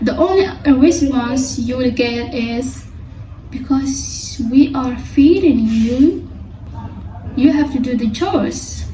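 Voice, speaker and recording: A woman's high-pitched voice in a Somali accent, with ordinary pitch variation, a very slow pace, long, frequent pauses, noticeable background noise and audible room echo. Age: 20s. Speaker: vlogger. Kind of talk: personal vlog monologue. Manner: halting.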